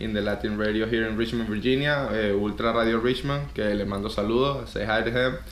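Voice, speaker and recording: With a Venezuelan accent, a man of medium pitch speaks at a very fast pace with hardly any pauses and fairly even intonation, amid noticeable background noise and audible room echo. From Venezuela, Caracas. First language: Spanish. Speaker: DJ and former radio host. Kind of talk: interview. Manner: hesitant, repeats words.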